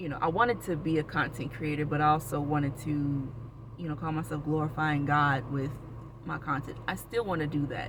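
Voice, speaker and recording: Long, frequent pauses in an American accent, over noticeable background noise. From Florida (Orlando). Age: 30s. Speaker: vlogger. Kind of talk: casual personal vlog. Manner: rambling, with many fillers and restarts.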